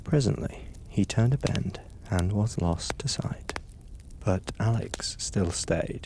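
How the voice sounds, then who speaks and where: This man talks at a fairly slow pace in a calm tone, his voice dark, mellow and somewhat breathy. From British. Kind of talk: audiobook story reading. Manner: calm, relaxing.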